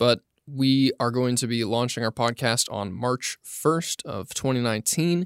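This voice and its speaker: Here is a plain, everyday voice with an American accent, speaking at a moderate pace. The recording is very clean with a silent background and a dry, close sound with no echo. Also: man. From California, Monterey County. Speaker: video editor. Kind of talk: casual interview.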